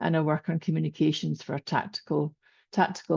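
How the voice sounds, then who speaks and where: Against a quiet background with a dry, close sound and no echo, a woman speaks at a moderate pace in a very deep, low voice with a dark, mellow tone. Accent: Scottish. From Scotland. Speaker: corporate communications volunteer. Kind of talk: panel introduction.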